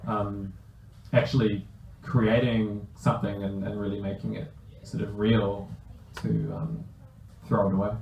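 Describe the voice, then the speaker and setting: Amid noticeable background noise and audible room echo, a man speaks at a moderate pace with a fairly low pitch, fairly even intonation and long, frequent pauses. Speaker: comic artist. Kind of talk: bookstore talk Q&A, casual interview. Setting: bookstore event with audience and microphone. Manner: halting, many fillers.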